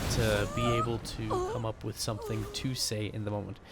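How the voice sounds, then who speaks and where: A man talks over noticeable background noise. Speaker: gaming YouTuber. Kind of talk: gameplay commentary. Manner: slurs words when speaking quietly; frequent fillers like right and uh.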